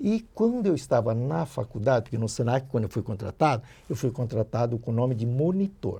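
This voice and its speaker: A man speaks fairly quickly at a medium pitch, somewhat breathy, with a dark, mellow tone. His intonation is lively, and the background is quiet. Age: 70s. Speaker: dental prosthetics educator. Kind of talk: podcast interview, life story.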